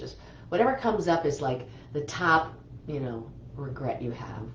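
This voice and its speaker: The voice has an animated tone, with noticeable background noise and audible room echo. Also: woman. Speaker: energy healer. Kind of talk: guided healing session.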